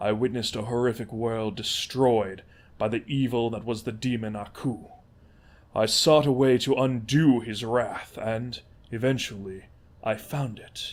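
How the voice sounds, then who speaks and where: Putting on a character voice, a man speaks at a medium pitch with fairly even intonation. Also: moderate pace. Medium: read story. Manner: formal, measured.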